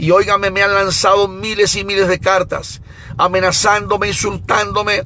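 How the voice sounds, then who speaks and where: Against noticeable background noise, a man with a high pitch speaks in a raised, projected voice with an animated tone. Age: 60s. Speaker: evangelist preacher. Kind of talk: sermon.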